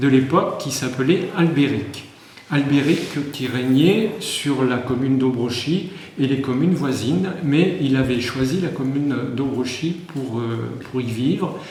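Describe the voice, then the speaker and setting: Amid noticeable background noise and audible room echo, a man with a fairly high pitch talks very slowly with ordinary pitch variation. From France. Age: 60s. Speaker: village mayor. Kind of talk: interview answers to schoolchildren. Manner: hesitant, many filler sounds.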